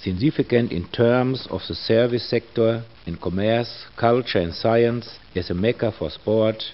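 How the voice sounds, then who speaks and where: A fairly slow delivery with an German accent and ordinary pitch variation. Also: man. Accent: German (Dortmund) accent in English. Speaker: mayor. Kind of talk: official welcome address.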